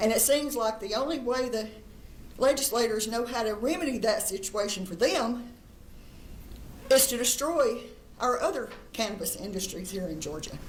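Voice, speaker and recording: A woman with lively intonation and long, frequent pauses, heard in audible room echo. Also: fairly high pitch for a woman, moderate pace. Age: 70s. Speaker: cannabis industry advocate. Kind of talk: public testimony.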